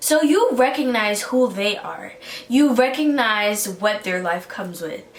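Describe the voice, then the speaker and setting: Amid noticeable background noise and audible room echo, a woman talks with ordinary pitch variation. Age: 20s. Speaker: college student podcaster. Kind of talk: motivational talk.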